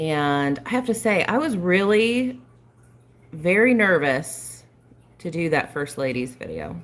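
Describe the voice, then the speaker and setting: A loud woman's very deep, low voice with very wide pitch swings, a fairly slow pace and long, frequent pauses. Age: 40s. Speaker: flosstube cross-stitch vlogger. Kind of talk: casual live stream chat. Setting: live video stream, not at home. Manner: mumbles sometimes; trying to talk loud.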